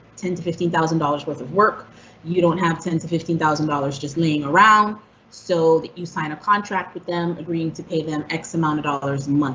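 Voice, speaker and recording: This woman has a plain, everyday voice. Her pitch sits fairly low, and her pace is moderate. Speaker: housing counselor presenter. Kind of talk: presentation.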